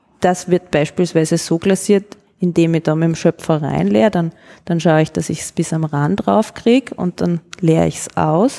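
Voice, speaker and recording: A woman's fairly low-pitched voice at a moderate pace, with ordinary pitch variation, a dry, close sound with no echo, and noticeable background noise. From Upper Austria. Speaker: ceramicist. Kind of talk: casual interview.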